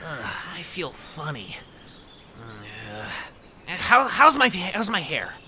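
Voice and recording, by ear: In a cartoonish character voice with a bright, sharp tone, a man speaks slowly at a fairly high pitch, his pitch swinging very widely over faint background noise.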